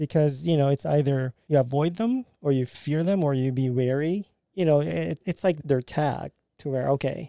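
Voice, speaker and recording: A man with a Filipino accent, fairly high in pitch yet dark and mellow in tone, at a moderate pace with ordinary pitch variation, in a very clean recording with a silent background and a dry, close sound with no echo. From Philippines. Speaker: podcast guest, immigrant with engineering background. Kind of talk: casual discussion podcast.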